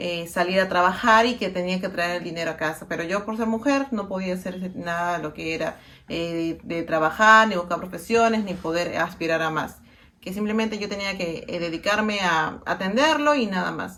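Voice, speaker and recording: A bright, sharp tone with a Peruvian accent, ordinary pitch variation and a moderate pace. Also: woman, medium pitch for a woman. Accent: Peruvian Spanish (Lima). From Peru, Lima. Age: 30s. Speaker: interviewee sharing personal experience. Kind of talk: personal testimony. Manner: halting, many fillers.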